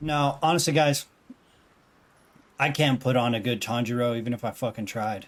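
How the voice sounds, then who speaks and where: At a moderate pace and a medium pitch, a man speaks with ordinary pitch variation and long, frequent pauses. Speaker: gaming streamer. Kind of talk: casual gameplay commentary.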